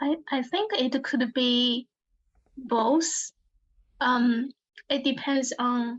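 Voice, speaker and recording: A woman speaks with a Chinese accent. Her pitch is high and her intonation fairly even. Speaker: workshop participant. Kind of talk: casual discussion. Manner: halting.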